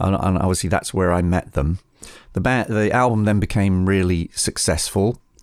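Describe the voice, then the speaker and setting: An English accent at a moderate pace, on a very clean recording with a silent background. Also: man. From England. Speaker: record producer. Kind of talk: interview storytelling. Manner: halting.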